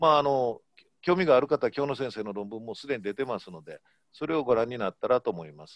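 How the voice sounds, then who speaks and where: A man talks very fast at a medium pitch with lively intonation. His loudness swings widely. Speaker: fertility clinic doctor. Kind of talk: lecture. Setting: video call.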